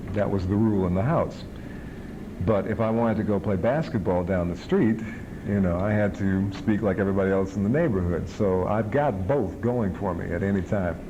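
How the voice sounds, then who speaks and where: Over noticeable background noise and audible room echo, a man with an American accent and fairly low pitch talks at a fairly quick pace with ordinary pitch variation. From Chicago. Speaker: TV movie host and radio disc jockey. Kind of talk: interview.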